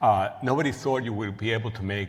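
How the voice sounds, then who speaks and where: A man's very fast, somewhat breathy speech in a Cuban accent, with audible room echo. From Cuba, then Queens, New York from age eleven. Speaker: professor and researcher. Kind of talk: lecture. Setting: stage with audience. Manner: halting, with frequent fillers and restarts.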